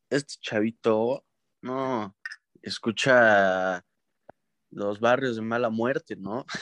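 In a Mexican accent, a man talks at a very slow pace with fairly even intonation. The sound is dry and close, with no echo. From Mexico, rural ranch. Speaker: podcast co-host. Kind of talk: casual chat.

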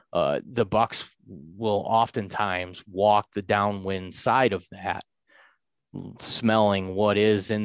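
In an ordinary speaking voice, a man talks at a fairly low pitch with fairly even intonation, recorded dry and close with no echo over a quiet background. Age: 30s. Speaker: deer hunter. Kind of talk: casual chat.

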